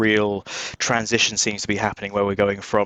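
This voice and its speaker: Speaking at a fairly quick pace with an English accent, a man keeps a monotone, flat intonation at a fairly low pitch. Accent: English accent, noticeable. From southern England, just outside London. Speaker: cybersecurity recruitment director. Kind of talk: podcast interview.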